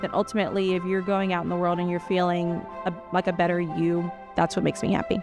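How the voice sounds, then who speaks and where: Very fast, very evenly loud speech in an American accent with fairly even intonation and clear music in the background. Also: woman, fairly low pitch for a woman. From Louisiana, US South. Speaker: nurse practitioner. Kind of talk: staff introduction talk to camera. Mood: warm, sincere. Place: office.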